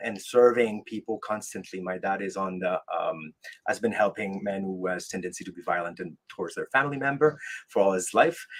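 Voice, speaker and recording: A French-Canadian accent from a man with a fairly low pitch, ordinary pitch variation and a moderate pace. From Quebec, French Canada. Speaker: military veteran and life coach. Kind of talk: podcast interview. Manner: halting, many fillers.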